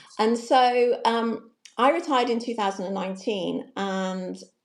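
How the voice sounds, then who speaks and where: A woman talks in a plain, everyday voice. Her pitch is fairly high and her pace moderate. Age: 60s. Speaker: confidence coach, retired banker. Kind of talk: interview.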